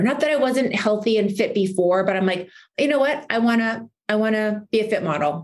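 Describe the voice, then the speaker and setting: An unremarkable speaking voice at a moderate pace. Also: woman. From Saskatchewan, Canada. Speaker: entrepreneur and model. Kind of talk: interview.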